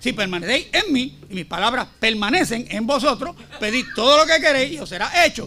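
A raised, projected voice carries lively intonation at a moderate pace. Noticeable background noise is present. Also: man. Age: 60s. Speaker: preacher. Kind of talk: sermon. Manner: forceful, confrontational.

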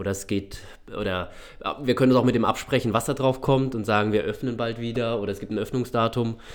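Very fast speech with fairly even intonation on a very clean recording with a silent background. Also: man, medium pitch for a man. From Baden, southwest Germany (Freiburg). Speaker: shopping center manager. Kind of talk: podcast interview. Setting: studio.

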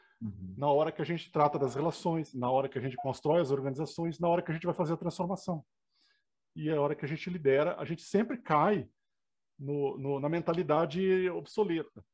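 Over a quiet background, a man with a Rio Grande do Sul accent speaks at a fairly quick pace and a fairly high pitch. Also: ordinary pitch variation. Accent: gaúcho (Rio Grande do Sul) intonation. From southern Brazil (Rio Grande do Sul). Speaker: engineer and professor. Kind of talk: interview.

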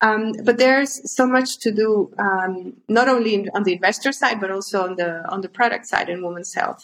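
With a Spanish accent, the speaker keeps a moderate pace and ordinary pitch variation. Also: woman, medium pitch for a woman. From Honduras. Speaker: startup co-founder. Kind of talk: interview. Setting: video call.

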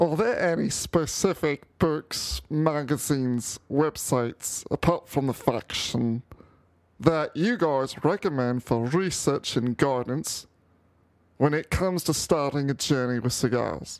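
A man speaks in a put-on character voice with a British accent, drawling at a fairly slow pace in a fairly high pitch, on a very clean recording with a silent background.

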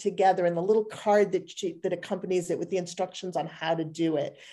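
In a very clean recording with a silent background, a woman uses an ordinary speaking voice at medium pitch with fairly even intonation. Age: 50s. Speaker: image consultant. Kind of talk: interview conversation.

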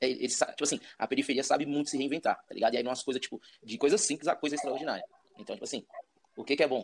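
Speaking very fast, a man has a fairly high pitch with ordinary variation. The sound is dry and close, with no echo. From Brazil, Ceilândia (Federal District). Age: 30s. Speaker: rapper. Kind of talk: casual chat. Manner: casual slang-heavy.

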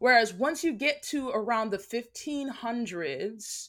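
With an American accent and a fairly high pitch, a woman talks at a very slow pace with lively intonation in a very clean recording with a silent background. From United States. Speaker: guest speaker on race and religion. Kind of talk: casual interview chat.

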